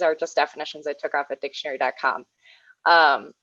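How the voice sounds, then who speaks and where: Words come at a fairly quick pace in an American accent. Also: woman. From Red Cliff, northern Wisconsin. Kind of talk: presentation.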